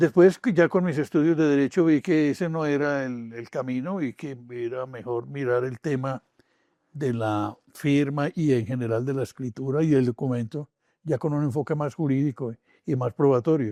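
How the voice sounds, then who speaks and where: Dark, mellow tone from a man at a fairly high pitch and moderate pace, dry and close with no echo, quiet background. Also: ordinary pitch variation. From Colombia, Medellín. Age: 80s+. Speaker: forensic document examiner and law professor. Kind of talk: interview. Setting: podcast interview.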